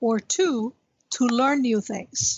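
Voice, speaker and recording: A woman at a fairly slow pace, high in pitch, with ordinary pitch variation. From US, Cuban-American family. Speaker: retired executive. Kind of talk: interview conversation.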